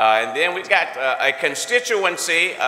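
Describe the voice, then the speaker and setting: Very slow speech with very wide pitch swings rings out with audible room echo. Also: man. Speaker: church leader. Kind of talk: welcome and introduction. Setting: church. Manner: animated. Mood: warm, joking. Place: church. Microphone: podium.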